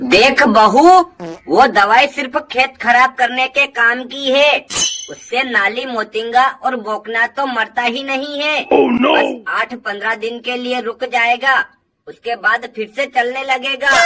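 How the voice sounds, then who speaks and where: A female-sounding voice in a cartoonish character voice speaks at a high pitch and a fairly slow pace. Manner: bossy, scolding.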